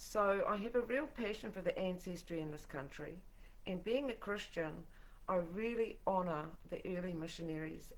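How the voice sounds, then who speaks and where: With a New Zealand accent, a woman speaks in a room with audible echo. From New Zealand, Tokoroa. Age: 60s. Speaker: political activist and singer-songwriter. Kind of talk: livestream monologue. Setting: live broadcast from home. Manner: informal.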